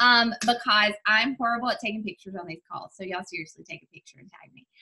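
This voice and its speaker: A woman's fairly high voice with an American accent, very fast pace, ordinary pitch variation and big swings in loudness. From US South, Mississippi. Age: 30s. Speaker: health and fitness coach. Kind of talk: guest talk on team call.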